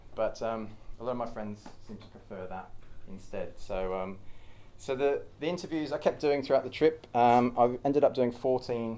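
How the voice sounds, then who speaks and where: Delivered at a fairly quick pace with big swings in loudness, the voice has a strong Australian accent, ordinary pitch variation and a dark, mellow tone. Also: man. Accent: thick Australian. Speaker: cyclist and traveller giving a talk. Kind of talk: informal public talk. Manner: hesitant, many fillers.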